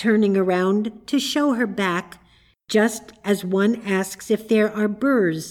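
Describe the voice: Someone reads a text out. It is plain reading aloud.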